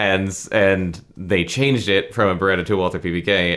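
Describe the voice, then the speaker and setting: In a very clean recording with a silent background, a man keeps a moderate pace. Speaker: podcast host. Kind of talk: casual chat. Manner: casual, profane.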